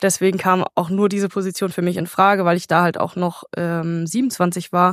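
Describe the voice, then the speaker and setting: A woman at a moderate pace with fairly even intonation and a plain, everyday voice. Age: 20s. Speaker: technical supervisor on a cruise ship. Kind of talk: remote interview. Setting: remote call from a ship.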